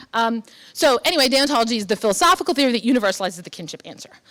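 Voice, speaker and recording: A woman's fairly high voice at a very fast pace. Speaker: philosophy professor. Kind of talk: lecture. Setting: conference luncheon talk. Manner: frequent fillers, um and uh.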